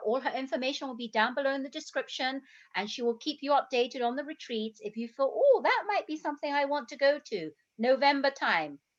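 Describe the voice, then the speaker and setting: A woman with an English accent speaks at a fairly quick pace in a high voice, her loudness swinging widely. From England. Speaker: health coach, interview host. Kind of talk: casual interview chat. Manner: animated.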